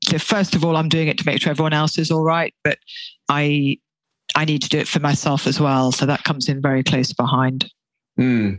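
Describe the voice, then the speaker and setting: A woman speaks at a very deep, low pitch with fairly even intonation and very even loudness. The sound is dry and close, with no echo. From third culture kid, international upbringing. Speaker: podcast panel guest. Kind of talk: casual chat.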